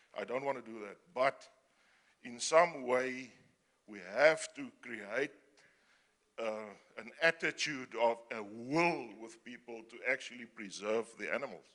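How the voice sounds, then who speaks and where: At a fairly slow pace with long, frequent pauses, a man's bright, sharp tone and medium pitch carry ordinary pitch variation and big swings in loudness. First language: not English. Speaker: audience member, conservationist. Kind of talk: audience question at panel. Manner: halting.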